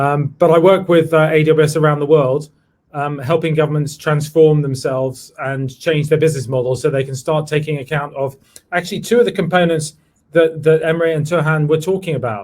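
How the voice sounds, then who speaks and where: Somewhat breathy and fairly quick, a man with a London accent speaks at a fairly high pitch with fairly even intonation. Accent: British (London). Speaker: tech executive, former government CTO. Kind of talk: virtual panel discussion.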